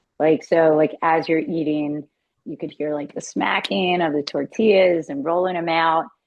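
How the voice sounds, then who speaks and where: Speaking with a Philadelphia accent, a woman uses a fairly low pitch, ordinary pitch variation and a moderate pace. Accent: Philly (Delco). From Philadelphia area (Delaware County), US. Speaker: car salesperson. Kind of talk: casual interview chat.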